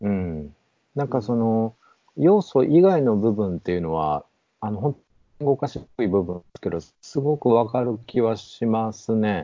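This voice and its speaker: A man's ordinary speaking voice at a medium pitch and a moderate pace. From Nabari, Mie (near Nara, Kansai). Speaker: bookshop owner. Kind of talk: casual conversation.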